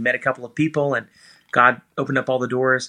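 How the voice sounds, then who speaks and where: A man's medium-pitched, bright, sharp voice at a very fast pace, flat and monotone, against a quiet background. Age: 30s. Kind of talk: casual interview. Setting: video call.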